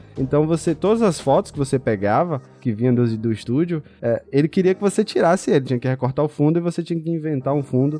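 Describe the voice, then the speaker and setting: A man's very fast delivery with hardly any pauses, a fairly high pitch, lively intonation, and a dark, mellow tone. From Bahia, Brazil (Feira de Santana). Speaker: audio and video editor. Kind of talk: casual chat.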